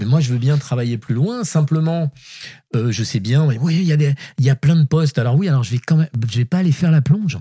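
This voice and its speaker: A man talks very fast at a fairly high pitch with lively intonation. His dark, mellow voice is somewhat breathy, and the sound is dry and close with no echo. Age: 60s. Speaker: writer. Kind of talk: casual chat.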